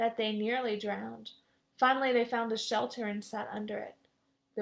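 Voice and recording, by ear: Someone is reading aloud in a natural voice, with fairly even intonation. The background is quiet.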